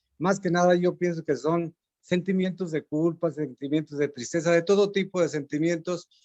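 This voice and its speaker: The sound is dry and close with no echo, as a man speaks at a moderate pace with a high pitch. His intonation is fairly even and his loudness very even. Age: 70s. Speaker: audience member asking a question. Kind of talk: Q&A contribution after a talk. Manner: halting, many fillers.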